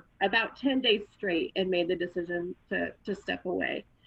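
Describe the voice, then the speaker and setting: A woman's medium-pitched voice at a moderate pace. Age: 40s. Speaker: former family caregiver, photographer. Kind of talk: personal testimony in podcast interview. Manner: hesitant, many fillers.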